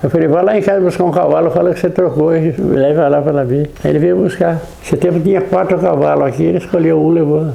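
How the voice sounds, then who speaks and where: A man talks at a very fast pace with hardly any pauses, fairly high pitch, fairly even intonation and very even loudness, recorded with audible room echo and noticeable background noise. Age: 90s. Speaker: elderly local resident. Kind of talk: oral history interview.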